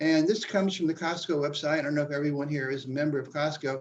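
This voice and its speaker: At a very fast pace, a man speaks with a fairly high pitch. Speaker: building science expert giving a seminar. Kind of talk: online lecture with slides.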